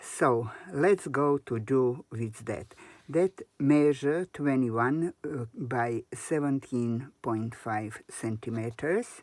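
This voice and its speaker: This speaker talks at a very slow pace with a non-native accent and ordinary pitch variation, in a dry, close sound with no echo. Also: woman, very deep, low pitch for a woman. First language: not English. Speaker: crafter. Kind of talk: tutorial. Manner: halting.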